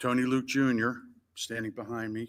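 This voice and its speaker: In a very clean recording with a silent background, the bright, sharp voice moves at a fairly slow pace with monotone, flat intonation. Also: man. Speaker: business representative. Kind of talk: roundtable discussion.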